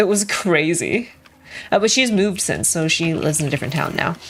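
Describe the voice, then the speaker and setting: The speech moves at a fairly quick pace with lively intonation. Music plays in the background. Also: woman. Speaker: gaming streamer. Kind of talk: casual chat. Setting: live stream. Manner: fast.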